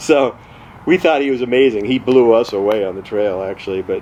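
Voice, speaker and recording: A man with an American accent talks in a relaxed tone against noticeable background noise. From California. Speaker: amateur mountaineer and storyteller. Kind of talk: casual storytelling to camera. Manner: conversational, relaxed.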